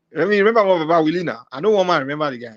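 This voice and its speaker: A man with a fairly high pitch talks at a very fast pace in an animated tone. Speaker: live-stream talk show host. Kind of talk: casual chat.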